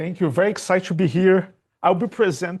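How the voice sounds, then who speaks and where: At a moderate pace and against a quiet background, a man with a high voice talks in a Portuguese accent. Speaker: computer scientist, programming language creator. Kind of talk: technical conference talk. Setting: stage with audience, presenting seated. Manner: halting, many fillers and restarts.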